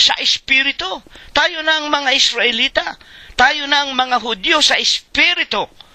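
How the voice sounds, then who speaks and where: Using a raised, projected voice, a man speaks at a fairly slow pace with a dry, close sound and no echo. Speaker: church preacher leading a Bible study. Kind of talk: sermon / Bible study preaching.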